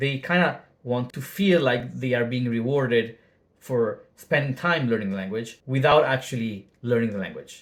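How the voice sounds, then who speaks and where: The speaker has a non-native accent and a moderate pace. Pitch varies in an ordinary way. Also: man, medium pitch for a man. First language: not English. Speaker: language learning YouTuber. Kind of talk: casual video monologue. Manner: casual with filler words.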